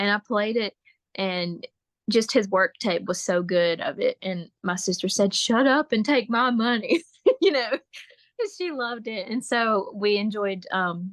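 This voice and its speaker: A woman speaks at a fairly slow pace in an unremarkable speaking voice, fairly high in pitch with ordinary pitch variation. The sound is dry and close, with no echo. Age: young. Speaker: bluegrass singer and fiddler. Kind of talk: casual interview chat.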